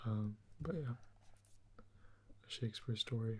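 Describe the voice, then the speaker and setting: This man's voice is fairly low in pitch and somewhat breathy. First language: Portuguese. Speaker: ASMR creator. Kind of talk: ASMR soft-spoken commentary. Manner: soft-spoken; hesitant, with fillers.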